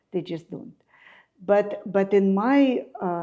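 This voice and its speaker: Speaking with a Russian accent, a woman has a dark, mellow tone and a fairly slow pace. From Ukraine (Kyiv). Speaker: architect and artist. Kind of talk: interview. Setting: at home.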